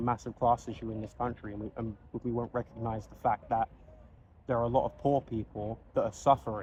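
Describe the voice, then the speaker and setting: A man with a medium-pitched voice talks at a fairly quick pace. His voice is somewhat breathy. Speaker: video blogger. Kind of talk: personal monologue. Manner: halting, with repetitions.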